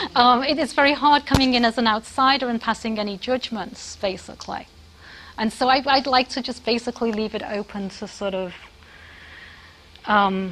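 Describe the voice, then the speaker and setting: Her accent is British. This woman speaks at a moderate pace in a fairly high voice with ordinary pitch variation. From Britain. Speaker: professor. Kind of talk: lecture. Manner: halting, many fillers.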